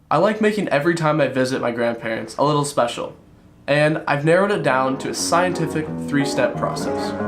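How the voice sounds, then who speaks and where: With music in the background, a man speaks at a fairly quick pace and a fairly high pitch, his intonation lively. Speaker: vlogger. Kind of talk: personal vlog narration.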